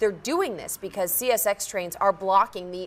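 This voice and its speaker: At a moderate pace, a woman talks with ordinary pitch variation in a normal speaking voice. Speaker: TV news anchor and reporter. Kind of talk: live TV news report.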